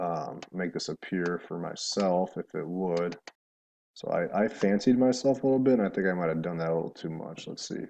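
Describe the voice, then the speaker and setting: Very deep and low, this man's voice has a dark, mellow tone. He speaks at a moderate pace with lively intonation. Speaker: math teacher. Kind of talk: recorded math lesson for students. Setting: alone in his apartment. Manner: animated.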